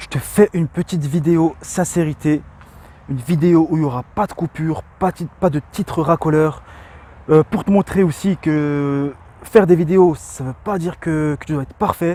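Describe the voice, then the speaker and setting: A man talks at a moderate pace in a fairly high pitch with a dark, mellow tone. His intonation stays fairly even while his loudness swings widely. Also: dry, close sound with no echo. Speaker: entrepreneur and online video creator. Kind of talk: sincere motivational talk to camera. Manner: stammering, with pauses to think; hesitant, many filler sounds.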